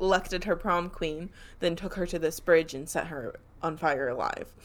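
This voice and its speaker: Her pitch fairly low and ordinarily varied, a woman speaks at a moderate pace. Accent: American. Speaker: podcast co-host. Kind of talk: casual chat with storytelling.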